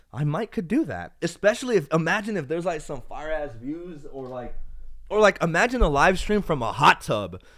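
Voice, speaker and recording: Here a man speaks on a very clean recording with a silent background. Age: 20s. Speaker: tech YouTuber and phone salesperson. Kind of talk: casual livestream chat reading viewer comments. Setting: home livestream in own room. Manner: casual, halting with fillers.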